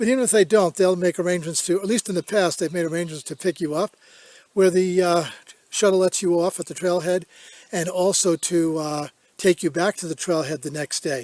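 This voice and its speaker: In a dry, close sound with no echo, a man with a high voice talks at a fairly quick pace and fairly even intonation. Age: 70s. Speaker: hiking vlogger. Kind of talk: casual vlog Q&A. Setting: outdoors on a hike. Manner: halting with fillers.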